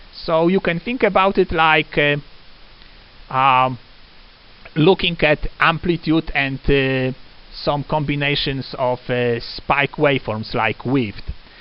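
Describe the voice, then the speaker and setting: A man with a non-native accent speaks at a fairly high pitch with ordinary pitch variation. His pace is very slow, with long, frequent pauses. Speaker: lecturer. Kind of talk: lecture. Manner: halting, many fillers.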